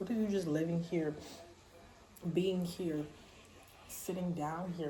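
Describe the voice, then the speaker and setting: Speaking at a fairly slow pace, a woman with a fairly low pitch keeps her intonation fairly even, amid noticeable background noise and audible room echo. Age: 20s. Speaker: vlogger. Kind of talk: casual monologue vlog. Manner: casual, rambling with fillers.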